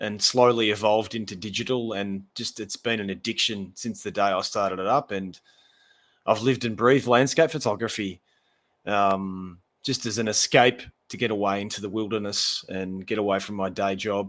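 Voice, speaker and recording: A man with an Australian accent speaks at a moderate pace with fairly even intonation on a very clean recording with a silent background. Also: fairly low pitch for a man. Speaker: landscape photographer. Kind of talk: casual chat. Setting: live stream.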